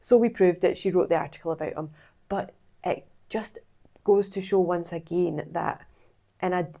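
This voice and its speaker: At a moderate pace, a woman with a medium pitch and a dark, mellow tone speaks with fairly even intonation and long, frequent pauses. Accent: Scottish. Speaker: PR consultant and vlogger. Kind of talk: vlog monologue.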